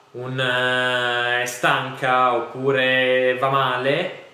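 Noticeable background noise and audible room echo around a man's voice at a medium pitch. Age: 20s. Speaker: gym co-owner, business side. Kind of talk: casual interview.

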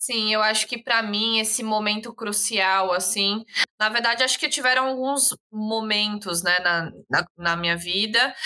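A woman has an ordinary speaking voice, fairly high in pitch with ordinary pitch variation, at a fairly slow pace and very even loudness. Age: 20s. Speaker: podcast guest, young mother. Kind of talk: casual chat.

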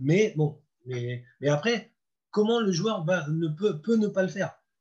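A high-pitched man speaks at a fairly slow pace. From Normandy, France. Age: 50s. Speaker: football coach. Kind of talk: interview. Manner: halting.

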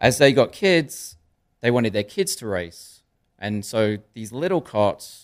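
A man with an American accent speaks fairly slowly in an unremarkable speaking voice, with ordinary pitch variation. The recording is very clean, with a silent background. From Connecticut, US. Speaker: podcast host. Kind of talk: interview. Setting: studio.

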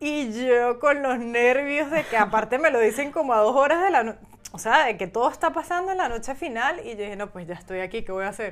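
Amid noticeable background noise, a high-pitched woman talks at a fairly quick pace, her loudness swinging widely. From Venezuela, San Cristóbal. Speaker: professional model. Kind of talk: interview. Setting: in person, Hamburg.

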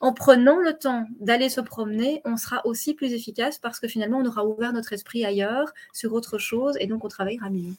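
A woman's fairly high voice at a fairly quick pace, ordinary pitch variation and hardly any pauses. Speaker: business coach and speaker. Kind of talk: interview. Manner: fast.

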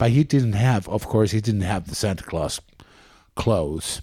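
On a very clean recording with a silent background, a man with a Finnish accent speaks at a fairly low pitch with lively intonation and a dark, mellow tone. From Espoo, Finland. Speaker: podcast co-host. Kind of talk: casual chat.

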